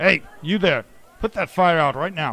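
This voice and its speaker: A man's gruff, put-on character voice, high-pitched, at a moderate pace. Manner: commanding, angry.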